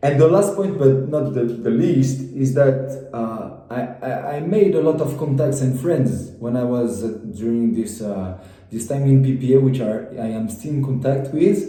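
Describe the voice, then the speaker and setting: With a French accent, a man talks at a fairly slow pace in a medium-pitched voice. The room echoes audibly and there is noticeable background noise. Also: ordinary pitch variation. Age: 20s. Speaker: former business school student. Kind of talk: testimony. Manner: halting, many repetitions.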